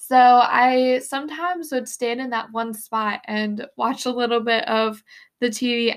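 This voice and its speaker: A woman with an ordinary speaking voice talks at a fairly slow pace and a fairly high pitch, with fairly even intonation. The recording is very clean, with a silent background. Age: 20s. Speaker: podcast host and small business owner. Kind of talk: casual solo podcast monologue.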